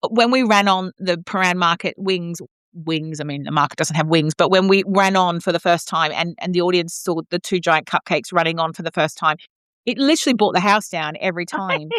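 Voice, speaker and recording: A woman with an Australian accent, fairly low in pitch, animated in tone, at a fairly quick pace with ordinary pitch variation, on a very clean recording with a silent background and a dry, close sound with no echo. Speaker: opera singer and podcast co-host. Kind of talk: casual chat.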